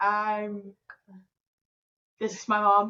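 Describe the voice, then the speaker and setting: This woman speaks with an Australian accent and a fairly high pitch. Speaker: fundraising administrator. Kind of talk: interview.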